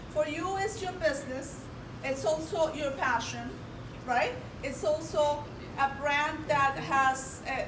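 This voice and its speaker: Speaking loudly and at a very slow pace with long, frequent pauses, a woman uses a high pitch and ordinary pitch variation, with audible room echo and noticeable background noise. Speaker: presenter. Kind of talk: interactive presentation.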